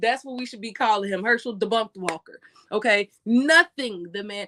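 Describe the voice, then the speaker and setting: In a dry, close recording with no echo, a woman with an American accent sounds animated, her fairly high voice bright and sharp with lively intonation. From USA. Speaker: live streamer, commentator. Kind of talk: live stream commentary. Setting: live stream.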